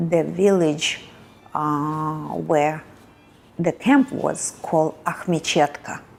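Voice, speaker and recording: A woman's very deep, low voice with a strong Russian accent, at a very slow pace and with fairly even intonation. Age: 70s. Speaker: Holocaust survivor. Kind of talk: testimony. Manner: halting.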